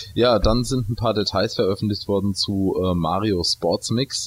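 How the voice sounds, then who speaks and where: At a fairly slow pace, a man talks in a fairly low pitch with ordinary variation. It is a plain, everyday voice. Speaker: video game podcast co-host. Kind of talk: casual chat.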